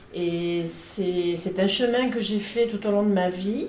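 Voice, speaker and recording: Amid noticeable background noise and audible room echo, a woman of medium pitch speaks at a fairly slow pace with ordinary pitch variation. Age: 60s. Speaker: catechumen preparing for baptism. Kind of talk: interview testimony. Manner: somewhat halting.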